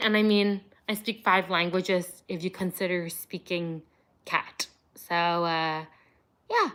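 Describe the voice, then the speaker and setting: A woman is speaking. Her pace is fairly slow. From Montreal, Canada. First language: Cantonese and Vietnamese. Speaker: streamer and kitten foster carer. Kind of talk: livestream chat answering viewer questions. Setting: home livestream with kittens. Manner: casual, chatty with fillers.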